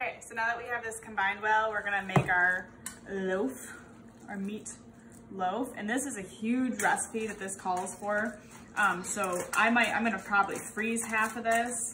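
Light background noise sits behind a woman talking at a moderate pace. Her intonation stays fairly even. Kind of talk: tutorial. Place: kitchen. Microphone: camera far.

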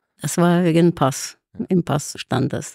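A woman speaks very slowly with vocal fry and a fairly low pitch. The sound is dry and close, with no echo. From Ukraine (Kharkiv, former Soviet Union). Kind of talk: interview.

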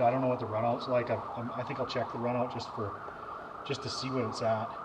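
A man talks over loud background noise. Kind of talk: tutorial. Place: garage. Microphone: camera far.

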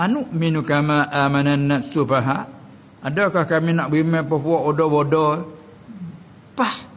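This is an unremarkable speaking voice: a man's, fairly high, with ordinary pitch variation. He goes at a fairly slow pace with very even loudness. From Southern Thailand. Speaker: religious teacher. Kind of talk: religious lecture. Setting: Islamic boarding school. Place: hall. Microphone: podium.

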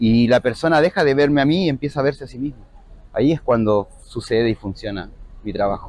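A man's fairly quick delivery with ordinary pitch variation and a dry sound with no echo. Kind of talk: interview answer. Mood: calm, reflective. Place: street.

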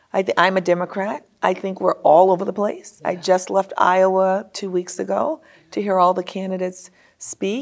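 A woman with an American accent talks over a quiet background. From New Orleans, Louisiana, US. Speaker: business executive; guest. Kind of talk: interview. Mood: earnest, concerned. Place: studio. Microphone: lapel.

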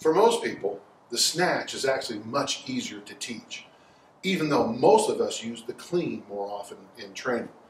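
At a moderate pace, the voice swings very widely in pitch and greatly in loudness, with light background noise and audible room echo. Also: man. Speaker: strength coach. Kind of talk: tutorial. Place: garage. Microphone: camera far.

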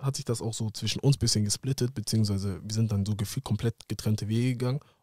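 A man rushes along at a very fast pace with hardly any pauses, his dark, mellow voice somewhat breathy and fairly even in intonation, the sound dry with no echo over a quiet background. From Hamburg area, northern Germany; northern Germany. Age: 20s. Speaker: professional footballer; podcast guest. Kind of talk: casual interview. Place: studio. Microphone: studio mic.

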